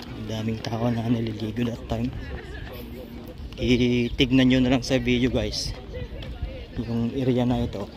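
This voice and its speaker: Speaking fairly slowly with long, frequent pauses, a man is heard amid audible room echo and noticeable background noise. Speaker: vlogger. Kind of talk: casual vlog narration. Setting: outdoors, walking in a park.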